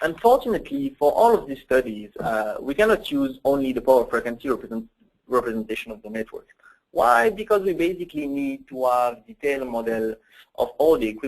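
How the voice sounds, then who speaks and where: Speaking at a fairly quick pace in a French accent, a man's fairly high voice makes very wide pitch swings. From France. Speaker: software application engineer. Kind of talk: technical webinar presentation. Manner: hesitant, many fillers.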